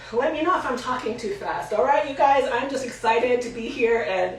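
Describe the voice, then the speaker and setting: A woman with a high pitch and lively intonation is heard with audible room echo and noticeable background noise. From Puerto Rican heritage. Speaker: hair stylist educator. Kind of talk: tutorial. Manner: fast.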